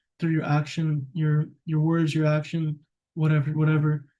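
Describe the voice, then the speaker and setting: The voice has a dark, mellow tone and is somewhat breathy. Its intonation is monotone and flat. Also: man. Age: 20s. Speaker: vlogger. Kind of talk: personal vlog monologue. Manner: casual, rambling with fillers.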